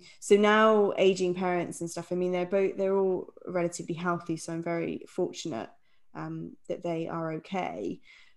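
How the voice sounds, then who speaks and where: A woman speaks at a moderate pace in a normal speaking voice, her pitch fairly low. The background is quiet. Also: fairly even intonation. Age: 30s. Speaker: podcast co-host. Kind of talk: casual chat.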